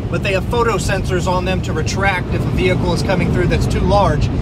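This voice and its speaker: The speech moves at a fairly quick pace. The sound is dry with no echo, but there is loud background noise. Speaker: presenter. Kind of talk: guided tour commentary. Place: car. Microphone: phone near.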